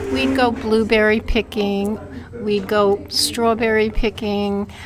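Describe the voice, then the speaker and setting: A woman at medium pitch with an American accent, very slow pace, and noticeable background noise. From Brooklyn, New York (Sunset Park). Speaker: oral history interviewee. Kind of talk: oral history interview. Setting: fire station meeting.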